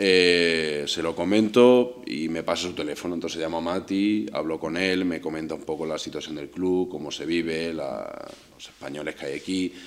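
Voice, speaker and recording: Noticeable background noise sits under a man with a very deep, low pitch. He speaks at a moderate pace with ordinary pitch variation and hardly any pauses. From Spain, village near Córdoba, Andalusia. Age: 30s. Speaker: professional footballer. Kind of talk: personal storytelling monologue. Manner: hesitant, with fillers and repetitions.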